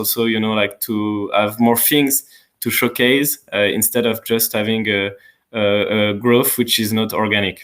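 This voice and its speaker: A man with a French accent speaks at a fairly slow pace in a monotone, flat intonation. The recording is very clean with a silent background. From France. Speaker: community manager. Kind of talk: live Q&A stream. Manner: hesitant, many fillers.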